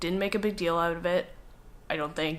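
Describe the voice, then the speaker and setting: A woman with an American accent talks in a fairly low pitch. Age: 20s. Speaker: documentary subject, adoptee. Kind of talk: documentary interview.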